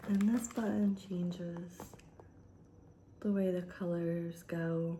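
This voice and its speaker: Soft-spoken delivery at a very slow pace, with ordinary pitch variation and audible room echo. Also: woman, fairly low pitch for a woman. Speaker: ASMR creator. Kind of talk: soft-spoken show and tell.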